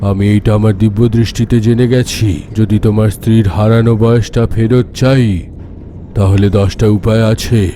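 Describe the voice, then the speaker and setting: Over clear background noise, a man does a cartoonish character voice at medium pitch, with a fairly slow pace and very even loudness. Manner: solemn, measured.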